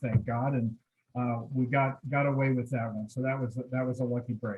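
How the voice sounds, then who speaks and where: An American accent marks this man's speech. He talks at a moderate pace. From Southern California, San Diego. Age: 60s. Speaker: chamber of commerce president. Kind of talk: personal life story talk.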